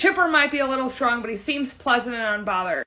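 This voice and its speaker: This woman talks at a high pitch with ordinary pitch variation. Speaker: commentary youtuber recapping a court hearing. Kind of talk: reading a hearing summary aloud with commentary. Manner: fast.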